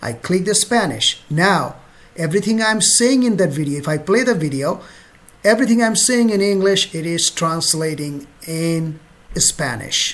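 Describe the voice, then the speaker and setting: Words come out at a moderate pace. A Bengali accent is present. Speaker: travel vlogger. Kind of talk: tutorial. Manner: casual, conversational.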